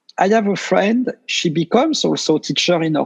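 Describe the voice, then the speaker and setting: A man with a French accent speaks at a fairly slow pace. The sound is dry and close, with no echo. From France. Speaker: meditation teacher. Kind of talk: interview. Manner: halting.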